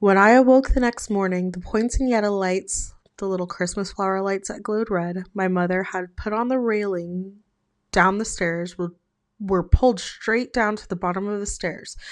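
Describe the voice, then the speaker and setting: Over a quiet background, a woman with a medium pitch speaks at a moderate pace with fairly even intonation. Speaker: ASMR horror storytime creator. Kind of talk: horror storytime reading Reddit stories. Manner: soft-spoken, ASMR style.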